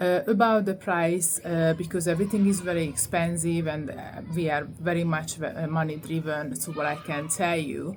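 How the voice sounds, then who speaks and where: A woman with a Hungarian accent speaks at a fairly low pitch and a moderate pace, with fairly even intonation and hardly any pauses, amid audible room echo. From Hungary. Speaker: vlogger. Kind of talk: testimony. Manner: halting, many fillers.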